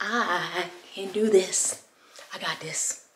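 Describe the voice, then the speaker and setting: A woman with an American accent and an animated tone, over noticeable background noise. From US South, North Carolina. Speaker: vlogger and mom blogger; vlogger, mom blogger. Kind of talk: casual vlog monologue.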